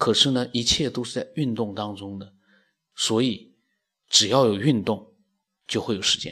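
A man at medium pitch speaks at a moderate pace with a bright, sharp tone, fairly even intonation, big swings in loudness, and long, frequent pauses. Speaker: podcast host reading listener ideas. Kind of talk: solo monologue discussing listener ideas.

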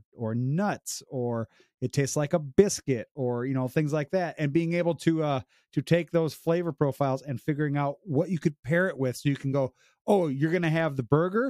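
A man with a Midwestern American accent and a dark, mellow tone talks at a moderate pace with ordinary pitch variation. The very clean recording is dry and close, with a silent background and no echo. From Illinois, US Midwest. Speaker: beer podcast host. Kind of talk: casual chat.

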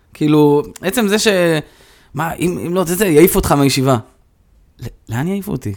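A man talks at a fairly quick clip, his fairly high voice full of lively intonation and broken by long, frequent pauses. The recording is very clean, with a silent background. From Israel, Rehovot and Modiin. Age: 30s. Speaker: informal education manager. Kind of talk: interview conversation. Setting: in person.

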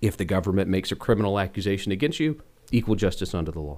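A man has a plain, everyday voice, fairly low in pitch with ordinary pitch variation. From US South, Rock Hill, South Carolina. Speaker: state senator. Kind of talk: interview. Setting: studio.

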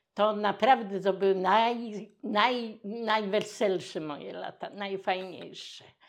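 At a very slow pace with hardly any pauses, a woman speaks in a medium pitch, her loudness swinging widely. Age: old. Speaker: retiree and community activist. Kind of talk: interview. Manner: animated.

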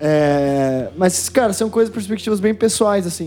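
A man speaks in a dark, mellow tone. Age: 20s. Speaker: podcast host. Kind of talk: casual chat.

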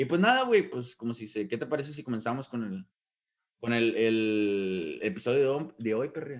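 At a moderate pace, a man talks with medium pitch and ordinary pitch variation. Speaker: podcast co-host. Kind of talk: casual chat. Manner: halting, many repetitions.

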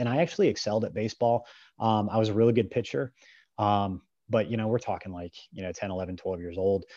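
Over a quiet background, a man with a Midwestern American accent talks at a fairly quick pace. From US Midwest, small-town northeast Ohio. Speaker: strength and grip coach. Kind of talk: casual interview chat.

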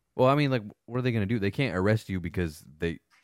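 In a dry, close sound with no echo, a man speaks at a very fast pace. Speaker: podcast host, military veteran. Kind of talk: casual chat. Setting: barbershop.

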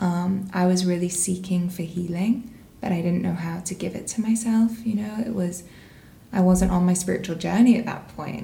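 Noticeable background noise and audible room echo surround the recording. A woman of medium pitch speaks with fairly even intonation. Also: moderate pace. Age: 20s. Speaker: women's wellness space founder. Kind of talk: casual chat.

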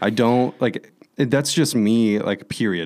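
An unremarkable speaking voice from a man, medium in pitch, with ordinary pitch variation and a fairly slow pace. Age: 20s. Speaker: DJ and techno producer. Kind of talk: casual chat.

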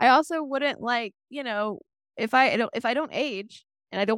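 On a very clean recording with a silent background and a dry, close sound with no echo, a woman speaks in an animated tone with ordinary pitch variation. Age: 20s. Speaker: podcast co-host recapping TV episodes. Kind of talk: casual chat.

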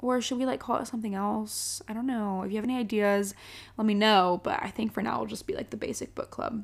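The speech comes at a very fast pace in a very clean recording with a silent background. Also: woman, fairly high pitch for a woman. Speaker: podcast host. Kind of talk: casual solo podcast monologue. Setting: home, alone in the house. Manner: energetic, loud.

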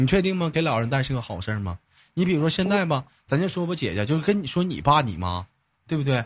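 Over a quiet background, a man with a northeastern Chinese accent speaks at a very fast pace in a somewhat breathy, animated tone, his fairly high pitch making very wide swings. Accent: northeastern Mandarin. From Jilin, northeast China. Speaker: live-stream call-in show host. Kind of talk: casual chat with caller.

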